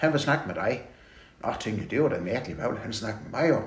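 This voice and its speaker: A man talking at a very fast pace in a fairly high pitch, with audible room echo and noticeable background noise. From Southern Jutland, Denmark (Vojens). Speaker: retired bank manager. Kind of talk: interview about life story. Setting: at home.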